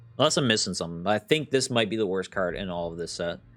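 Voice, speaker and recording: Against music in the background, a man speaks with lively intonation. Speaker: gaming content creator. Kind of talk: card game review commentary. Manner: casual with many fillers.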